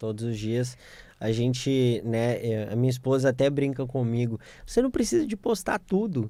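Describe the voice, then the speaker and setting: Speaking at a moderate pace, a man uses a medium pitch and a dark, mellow tone with ordinary pitch variation. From Minas Gerais, Brazil (Belo Horizonte). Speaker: corporate lawyer. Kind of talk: radio interview. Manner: halting, many fillers.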